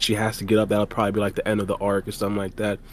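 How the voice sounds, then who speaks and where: The speaker is a man. His pitch sits fairly low. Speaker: podcast host. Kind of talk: casual chat. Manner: fast.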